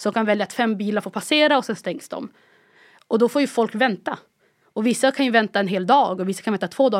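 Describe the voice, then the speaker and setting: This is a very clean recording with a silent background. A woman speaks with ordinary pitch variation. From Palestinian roots, born in Egypt. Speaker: podcast guest with family in Gaza. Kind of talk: casual conversation. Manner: halting, many restarts.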